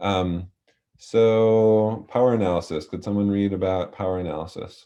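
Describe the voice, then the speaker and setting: Over a quiet background, a man's fairly low voice has a dark, mellow tone. He keeps a moderate pace and fairly even intonation. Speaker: community organizer. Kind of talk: training presentation.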